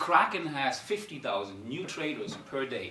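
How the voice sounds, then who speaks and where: Fairly slow speech from a man, with audible room echo and noticeable background noise. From Germany, Darmstadt, Italian-German. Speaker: startup founder and CEO. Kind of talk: conference talk. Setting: stage with audience. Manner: halting.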